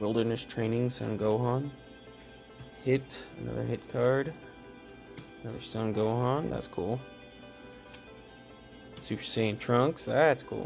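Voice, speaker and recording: Over clear music in the background, a man talks at a fairly slow pace with ordinary pitch variation, long, frequent pauses and big swings in loudness. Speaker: card opening host. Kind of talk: casual commentary while opening packs. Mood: pleased, excited. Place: home room. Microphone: phone near.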